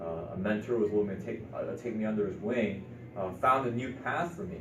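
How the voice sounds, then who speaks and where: A man with a Midwestern accent, fairly low in pitch, fairly quick and fairly even in intonation, with audible room echo. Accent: American Midwest. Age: 20s. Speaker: real estate entrepreneur. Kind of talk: interview.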